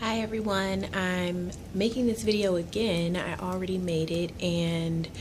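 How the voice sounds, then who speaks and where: A quiet woman's voice, fairly low in pitch with ordinary pitch variation, and audible room echo. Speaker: beauty vlogger. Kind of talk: casual vlog ramble. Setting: office at work. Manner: quiet, talking low; hesitant, many ums.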